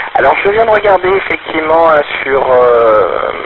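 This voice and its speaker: Noticeable background noise sits behind a man speaking at a fairly slow pace. His intonation is lively. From France. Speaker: ham radio operator. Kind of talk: ham radio conversation. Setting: portable radio link. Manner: halting.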